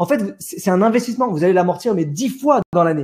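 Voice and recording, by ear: A slightly mellow tone with a slightly husky edge. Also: man.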